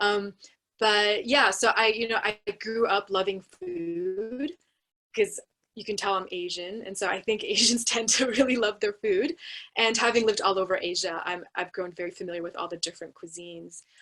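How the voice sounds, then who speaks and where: Over music in the background, a woman with an American accent speaks at a medium pitch and moderate pace, with ordinary pitch variation and big swings in loudness. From United States. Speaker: anthropologist, university researcher. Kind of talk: panel discussion.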